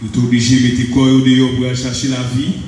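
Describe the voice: Talking at a fast pace, a man with a medium pitch speaks in a monotone, flat intonation amid strong room echo. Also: slightly mellow tone.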